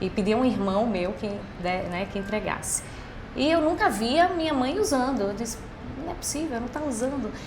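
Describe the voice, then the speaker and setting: At a moderate pace, a woman with a high voice makes very wide pitch swings, with audible room echo and noticeable background noise. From Brazil, Recife (Pernambuco). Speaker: business executive. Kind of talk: podcast interview.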